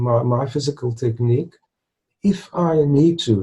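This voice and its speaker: Lively in intonation yet very slow, a man speaks at a fairly high pitch in a somewhat breathy voice with a dark, mellow tone. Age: 60s. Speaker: retired stuttering blogger. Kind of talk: interview. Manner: halting, with repetitions and fillers.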